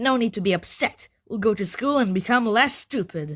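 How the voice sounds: Using a cartoonish character voice, a woman talks at a moderate pace with a fairly high pitch.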